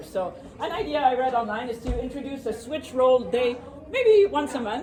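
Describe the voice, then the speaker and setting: Over noticeable background noise and audible room echo, a woman with a French accent speaks fairly quickly at a high pitch, her voice making very wide pitch swings. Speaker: productivity speaker. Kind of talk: presentation to a live audience. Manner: fast.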